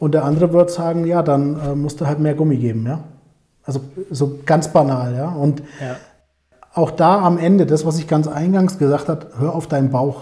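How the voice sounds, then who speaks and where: A man with a normal speaking voice, fairly even intonation and a moderate pace. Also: fairly high pitch for a man. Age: 40s. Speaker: sales professional. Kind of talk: casual interview.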